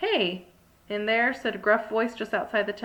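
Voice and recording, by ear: The words are read aloud. A natural voice carries the reading.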